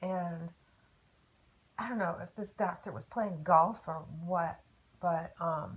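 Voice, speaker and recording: Very slowly and with long, frequent pauses, a woman speaks in a somewhat breathy, fairly low voice with ordinary pitch variation. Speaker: car crash survivor. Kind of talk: interview testimony. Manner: casual, halting.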